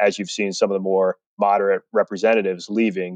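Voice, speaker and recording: An ordinary speaking voice from a man with an American accent, at a fairly quick pace with ordinary pitch variation. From New Jersey. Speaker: political strategist. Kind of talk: interview.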